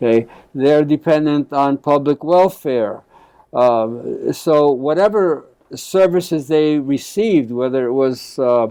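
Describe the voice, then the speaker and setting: A man's dark, mellow tone at a fairly slow pace, with very even loudness, ordinary pitch variation and a quiet background. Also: fairly high pitch for a man. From New York City, Puerto Rican family. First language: Spanish. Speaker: family therapist, professor. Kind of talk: interview. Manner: halting, many repetitions.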